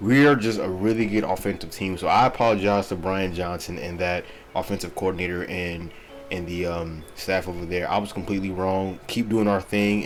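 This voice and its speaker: A man talks with a very deep, low pitch. Music plays in the background, and audible room echo surrounds him. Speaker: NFL YouTuber, Eagles fan. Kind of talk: casual sports commentary vlog. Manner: casual, filler-heavy.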